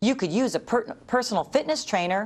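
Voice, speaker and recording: A put-on character voice, female-sounding and fairly high-pitched, at a fairly quick pace. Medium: read story. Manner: bright, chipper.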